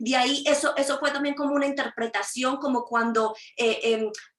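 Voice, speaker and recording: Her voice is high-pitched, bright and sharp, with ordinary pitch variation and a moderate pace. The woman is heard with audible room echo. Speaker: prophet preacher. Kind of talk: sermon. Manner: halting, stammering repeats.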